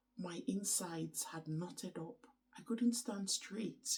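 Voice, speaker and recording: Somewhat breathy, a woman speaks at a medium pitch and fairly slow pace with ordinary pitch variation. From Nigeria, Igbo from Anambra. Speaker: vlogger. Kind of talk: casual vlog chat. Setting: at home early morning, others asleep. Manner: hesitant, many ums.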